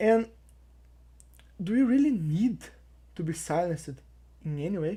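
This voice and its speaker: A woman with a non-native accent speaks in a dark, mellow, somewhat breathy tone with very wide pitch swings. The recording is very clean, with a silent background. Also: fairly low pitch for a woman, moderate pace. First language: not English. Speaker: YouTube commentator. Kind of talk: opinion commentary.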